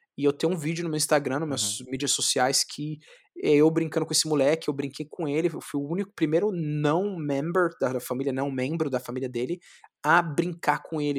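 Recorded very cleanly against a silent background, a man speaks at a fairly high pitch and a fairly quick pace. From São Paulo, Capão Redondo (periphery). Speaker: jiu-jitsu champion. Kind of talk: interview. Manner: animated.

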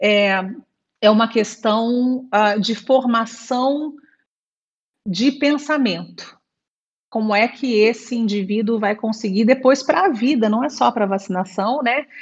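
Speaking at a very slow pace, a woman leaves long, frequent pauses and uses ordinary pitch variation. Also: fairly high pitch for a woman. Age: 40s. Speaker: infectious disease doctor. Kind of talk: interview.

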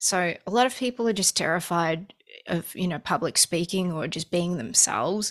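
A woman with an Australian accent speaks at a fairly low pitch with ordinary pitch variation, recorded very cleanly against a silent background. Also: moderate pace. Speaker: musician. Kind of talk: casual chat.

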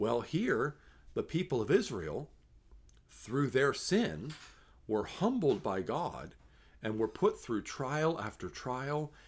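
On a very clean recording with a silent background, a man of medium pitch speaks at a fairly slow pace with very wide pitch swings and vocal fry. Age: 40s. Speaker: pastor. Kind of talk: devotional scripture reading and reflection.

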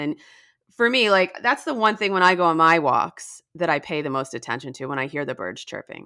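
A woman's bright, sharp voice, fairly low in pitch, with very wide pitch swings in a very clean recording over a silent background. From New Jersey. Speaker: author and science journalist. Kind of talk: interview. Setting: podcast interview.

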